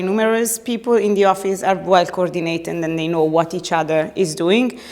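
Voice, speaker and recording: A woman talks at a fairly quick pace and a medium pitch. Noticeable background noise sits behind her. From Italy. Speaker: party secretary general. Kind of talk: interview. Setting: party headquarters office. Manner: loud; hesitant with many fillers.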